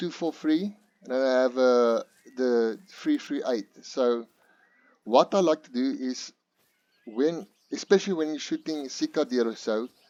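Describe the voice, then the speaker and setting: A non-native accent at a fairly slow pace, with long, frequent pauses, ordinary pitch variation, big swings in loudness and a dry, close sound with no echo. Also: man, medium pitch for a man. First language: not English. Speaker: gaming youtuber. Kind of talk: gameplay tutorial. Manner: halting, many fillers.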